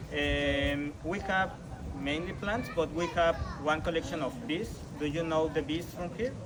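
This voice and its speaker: In a Mexican accent, the speaker goes at a fairly slow pace, with audible room echo and noticeable background noise. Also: man, fairly high pitch for a man, ordinary pitch variation. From Mexico. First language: Spanish. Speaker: botanical garden tour guide. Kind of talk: guided tour. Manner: halting.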